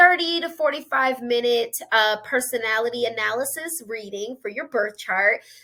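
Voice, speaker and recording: A woman with a high-pitched, bright, sharp voice projects it loudly at a moderate pace, her intonation lively. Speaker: astrologer and spiritual teacher. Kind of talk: educational monologue; closing promo. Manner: stumbling over words.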